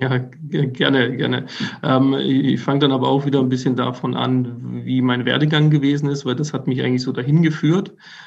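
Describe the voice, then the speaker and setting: Fairly quick speech with fairly even intonation comes through audible room echo and noticeable background noise. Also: man, medium pitch for a man. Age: 30s. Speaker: safety engineer. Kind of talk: interview. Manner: halting.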